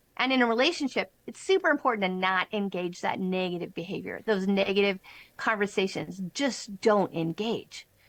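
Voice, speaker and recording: In a very clean recording with a silent background, a woman uses an ordinary speaking voice at a medium pitch, with ordinary pitch variation and a moderate pace. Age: 50s. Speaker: relationship coach and author. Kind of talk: interview.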